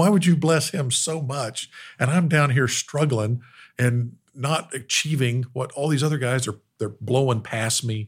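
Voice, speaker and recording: On a very clean recording with a silent background, a somewhat breathy man with an American accent speaks at a medium pitch and a fairly slow pace with ordinary pitch variation. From Oklahoma. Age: 60s. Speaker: business owner, family workshop founder. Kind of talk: interview conversation.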